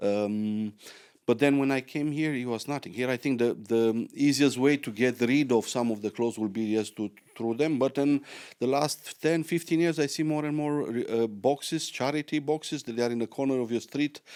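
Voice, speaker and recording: The speaker goes at a moderate pace with ordinary pitch variation in a very clean recording with a silent background. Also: man, medium pitch for a man. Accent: Romanian. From Romania. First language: Romanian. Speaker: podcast host. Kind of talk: podcast interview.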